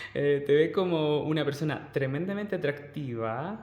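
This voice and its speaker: In a room with audible echo, a man with a fairly high pitch speaks at a moderate pace. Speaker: tarot reader. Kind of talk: tarot reading. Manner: animated.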